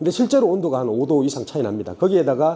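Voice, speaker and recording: A man's fairly high-pitched voice with a dark, mellow tone, vocal fry and very wide pitch swings, in audible room echo. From Daegu, South Korea. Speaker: construction company CEO. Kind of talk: seminar presentation. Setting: stage at trade expo seminar. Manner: casual, conversational.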